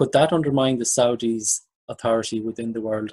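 A man's medium-pitched voice with an Irish accent, fairly even intonation, and a dry, close sound with no echo. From Ireland. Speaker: podcast host. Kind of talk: interview.

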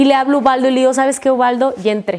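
Over noticeable background noise, a woman talks at a very fast pace. Her pitch is high. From Mexico, Tabasco. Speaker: network marketing leader. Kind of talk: testimony.

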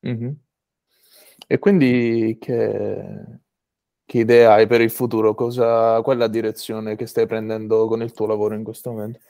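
At a moderate pace, a man speaks at a medium pitch in a dark, mellow, monotone voice, leaving long, frequent pauses. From Apulia, southern Italy. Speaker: podcast host. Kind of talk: interview conversation. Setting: video call.

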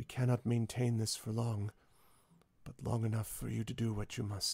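Using a strained, put-on character voice, a man speaks at medium pitch and a moderate pace with monotone, flat intonation. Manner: strained, calm but effortful.

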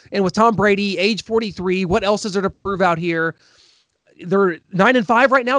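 A man with an American accent, high pitch and ordinary pitch variation, in a dry, close sound with no echo. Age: 30s. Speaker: sports podcast host. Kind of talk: casual chat.

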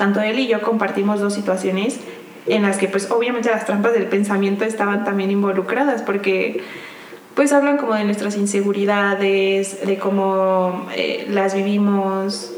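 A woman speaks at a moderate pace and a medium pitch, with fairly even intonation and very even loudness. Noticeable background noise and audible room echo are present. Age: 20s. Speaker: podcast co-host. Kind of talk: casual chat.

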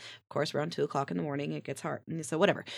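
There is vocal fry in this woman's voice. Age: 40s. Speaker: podcast co-host. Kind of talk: casual chat.

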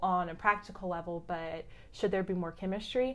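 Speaking with a plain, everyday voice, a woman keeps a moderate pace and ordinary pitch variation. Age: 20s. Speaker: flight attendant. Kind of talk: casual chat.

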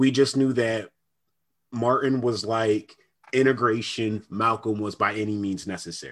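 A man with an unremarkable speaking voice at a medium pitch, with fairly even intonation, a fairly slow pace, and a very clean recording with a silent background. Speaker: podcast co-host. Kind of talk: casual chat.

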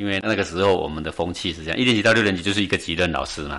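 With a bright, sharp tone, a man talks very fast in a very deep, low pitch with ordinary pitch variation. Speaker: meditation teacher. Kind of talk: interview.

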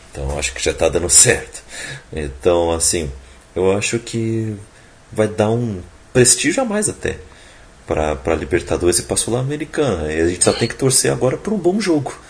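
A man with a fairly low pitch speaks at a moderate pace, his pitch swinging very widely. Long, frequent pauses break his speech over noticeable background noise. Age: 20s. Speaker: podcast host. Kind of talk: casual chat.

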